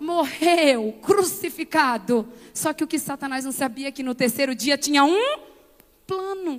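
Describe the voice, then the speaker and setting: Over background music, a woman speaks with lively intonation at a high pitch and a fairly slow pace. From Brazil, Bahia sertão (Conceição do Coité). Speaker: pastor and motivational speaker. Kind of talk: sermon. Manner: animated.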